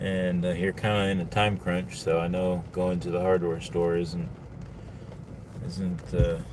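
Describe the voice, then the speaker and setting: With an American accent, a man delivers his lines. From Texas, Houston. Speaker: storm chaser livestreamer. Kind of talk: live stream commentary while driving. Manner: casual, halting with fillers.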